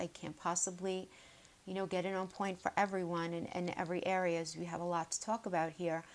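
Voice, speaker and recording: A woman speaks at a fairly quick pace. Her voice sits at a medium pitch. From New York (Queens). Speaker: tarot reader. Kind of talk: tarot reading video. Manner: casual, chatty.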